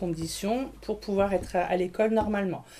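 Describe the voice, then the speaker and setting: At a fairly slow pace, a woman uses a plain, everyday voice at medium pitch. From Grenoble, France. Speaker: school nurse. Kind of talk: interview.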